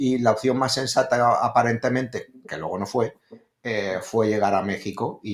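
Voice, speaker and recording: The speaker is male. His accent is Spanish. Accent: Spanish (Spain). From Spain, Madrid. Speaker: real estate investor. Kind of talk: interview. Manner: hesitant, many fillers.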